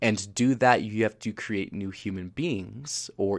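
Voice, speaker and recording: In a very clean recording with a silent background, a man with a plain, everyday voice talks fairly slowly at a fairly low pitch, his intonation fairly even. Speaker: spiritual tarot reader, livestream host. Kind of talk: casual spiritual monologue. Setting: livestream, audio only. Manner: laughs often, filler-heavy.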